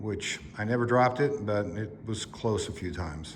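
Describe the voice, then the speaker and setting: Over noticeable background noise, a man with an American accent talks at a fairly low pitch. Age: 60s. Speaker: motorcycle vlogger. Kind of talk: casual product review.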